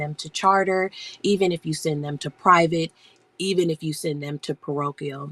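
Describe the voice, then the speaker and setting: A woman speaks quietly in a very deep, low pitch with monotone, flat intonation. The sound is dry and close, with no echo. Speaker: homeschool educator and live-stream seller. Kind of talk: casual live-stream chat. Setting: home basement, live stream. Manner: hushed, quiet.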